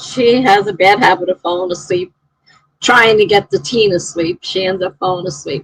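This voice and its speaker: A woman speaks at a moderate pace in a normal speaking voice, her pitch medium. Her intonation stays fairly even, and the sound is dry and close with no echo. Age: 60s. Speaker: writer and live streamer. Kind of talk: casual chat. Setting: live stream.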